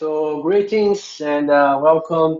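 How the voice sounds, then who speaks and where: A man with a Brazilian Portuguese accent talks at a fairly high pitch with ordinary pitch variation. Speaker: conference speaker, software developer. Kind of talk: conference presentation. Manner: hesitant, frequent fillers.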